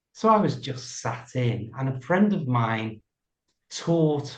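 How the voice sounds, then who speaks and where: A man speaks at a very slow pace in a medium pitch. His voice is somewhat breathy. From Liverpool, England. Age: 60s. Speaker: English coach. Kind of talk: interview.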